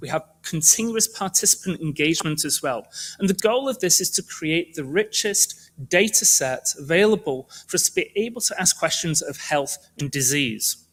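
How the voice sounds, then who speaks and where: Lively intonation comes through with a British accent. The recording is very clean, with a silent background. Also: man. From United Kingdom. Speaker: medical researcher. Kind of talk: presentation talk.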